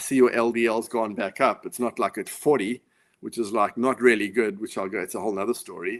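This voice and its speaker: A man with a South African accent talks at a fairly quick pace, his medium pitch held in a fairly even intonation. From South Africa, Johannesburg. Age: 50s. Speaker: author and former pro tennis player. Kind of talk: interview. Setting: live video call.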